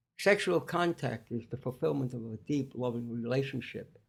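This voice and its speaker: The speaker has a New York accent. The pace is moderate. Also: man. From New York (Staten Island). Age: 80s+. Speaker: clinical nutritionist. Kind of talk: interview conversation. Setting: in-person studio podcast.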